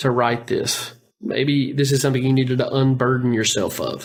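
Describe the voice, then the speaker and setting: At a moderate pace comes a normal speaking voice. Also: man. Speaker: podcast co-host. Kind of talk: casual podcast discussion.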